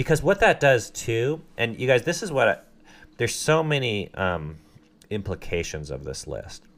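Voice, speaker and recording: Very wide pitch swings mark a man's medium-pitched voice with vocal fry, delivered at a moderate pace. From Southern California. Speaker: podcast host. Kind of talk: casual chat. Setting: home basement studio.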